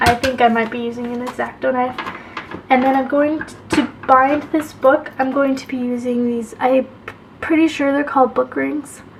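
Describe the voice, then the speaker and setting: Delivered at a moderate pace with fairly even intonation, the speech comes over noticeable background noise. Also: woman, long, frequent pauses. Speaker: craft video creator. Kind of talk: craft tutorial. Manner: casual, hesitant with fillers.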